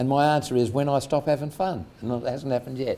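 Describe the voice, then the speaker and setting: A man speaks with an Australian accent at a medium pitch. His tone is dark and mellow. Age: 70s. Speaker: entrepreneur. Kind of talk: interview.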